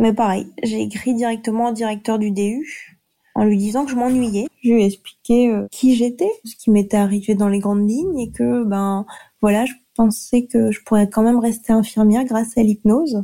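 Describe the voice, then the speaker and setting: A woman speaks at a moderate pace with a fairly high pitch and a somewhat breathy, dark, mellow tone. Her intonation stays fairly even. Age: 30s. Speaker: nurse. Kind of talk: testimony.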